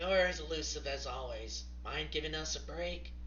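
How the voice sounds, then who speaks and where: In a put-on character voice, a man speaks at a moderate pace, raspy and very deep and low in pitch. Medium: actual play. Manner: hostile, sarcastic.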